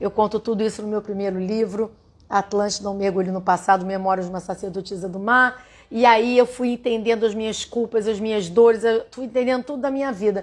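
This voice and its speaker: With fairly high pitch and fairly even intonation, a woman talks at a fairly quick pace in an ordinary speaking voice. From Rio de Janeiro, Brazil. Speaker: holistic therapist and writer. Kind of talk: livestream spiritual talk. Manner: warm, conversational.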